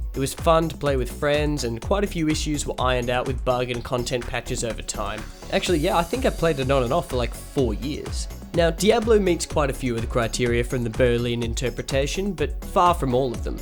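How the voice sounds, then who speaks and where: A man talking at a fairly quick pace with hardly any pauses, music in the background. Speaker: gaming video creator. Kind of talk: video essay narration. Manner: dry, sarcastic humour.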